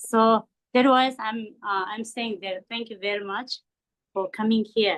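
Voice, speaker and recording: This woman has a fairly high pitch and a non-native accent. She talks at a moderate pace with fairly even intonation. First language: not English. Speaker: Buddhist teacher. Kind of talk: dharma talk. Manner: halting, many fillers.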